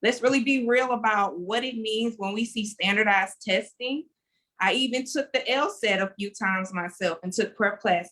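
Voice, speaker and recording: In a Louisiana accent, a woman talks with a fairly high pitch. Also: ordinary pitch variation, moderate pace. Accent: US Southern (Louisiana). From Louisiana, Lake Charles. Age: 30s. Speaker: education activist. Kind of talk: panel discussion. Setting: video call.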